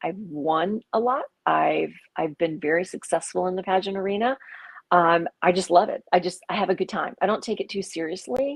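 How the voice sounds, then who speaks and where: Vocal fry is heard in this woman's voice. She talks at a medium pitch. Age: 60s. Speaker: pageant contestant and coach. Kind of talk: interview. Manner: animated.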